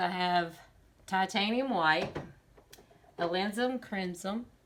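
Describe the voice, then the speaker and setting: A woman is speaking. Her voice has vocal fry. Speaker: amateur oil painter. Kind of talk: tutorial. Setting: home living room studio. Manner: casual, conversational.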